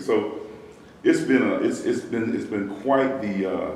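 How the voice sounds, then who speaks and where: A man in a South Carolina accent, with noticeable background noise and audible room echo. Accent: Southern US (South Carolina). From US South, Columbia, South Carolina. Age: 60s. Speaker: pastor's son, church member. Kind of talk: interview. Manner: halting, frequent fillers and repeats.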